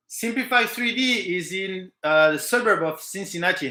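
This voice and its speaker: A man with a French accent projects a raised, high-pitched voice that is bright and sharp in tone, with lively intonation. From French Pacific island. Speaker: live stream host for a 3D printing material company. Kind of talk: live stream chat answering viewer questions. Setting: live stream. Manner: hesitant with many fillers.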